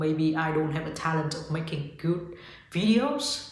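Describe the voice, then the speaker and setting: Someone speaks in a Vietnamese accent against noticeable background noise. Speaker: yoga teacher and spiritual vlogger. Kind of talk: casual motivational talk to camera.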